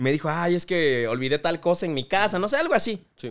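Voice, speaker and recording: A fairly high-pitched man at a fairly quick clip, lively intonation, on a very clean recording with a silent background. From Oaxaca, Mexico (Salina Cruz). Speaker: youtuber. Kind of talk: casual chat.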